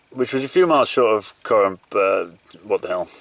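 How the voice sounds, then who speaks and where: The speech comes at a moderate pace. It carries a Yorkshire accent. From Yorkshire, northern England. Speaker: endurance runner, video diarist. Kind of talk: video diary. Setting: outdoors. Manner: casual, hesitant with fillers.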